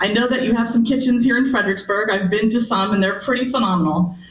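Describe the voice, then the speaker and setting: The recording has audible room echo and noticeable background noise. The speaker's pitch varies in an ordinary way. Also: woman. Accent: American. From US West Coast (Berkeley, California). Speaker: historian and archaeologist, author. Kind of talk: public lecture. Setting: library meeting room with audience. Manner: loud.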